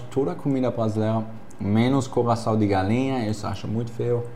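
Monotone, flat intonation from a man at medium pitch, with audible room echo. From Germany. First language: German (speaking Portuguese). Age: 20s. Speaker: exchange student and Instagram personality. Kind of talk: casual chat.

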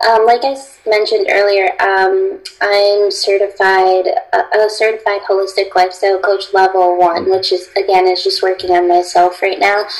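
Over noticeable background noise, a woman with an American accent speaks at a moderate pace in a medium pitch, with very even loudness and monotone, flat intonation. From Connecticut, US. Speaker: holistic lifestyle coach. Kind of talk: interview. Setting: video call.

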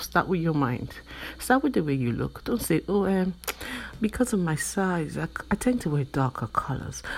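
Her fairly low voice carries vocal fry and very wide pitch swings as the woman speaks at a moderate pace. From Nigeria. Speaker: podcast host. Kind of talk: motivational monologue.

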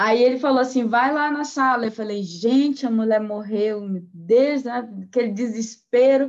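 A woman's voice, high in pitch, at a fairly slow pace. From Santarém, Pará. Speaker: music therapist and lecturer. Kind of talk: panel discussion.

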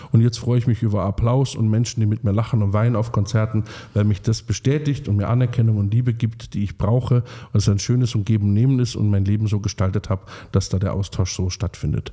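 On a very clean recording with a silent background, a man speaks at a very fast pace in a fairly low, dark, mellow, somewhat breathy voice with very even loudness. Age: 30s. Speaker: singer-songwriter. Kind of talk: casual chat. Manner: animated.

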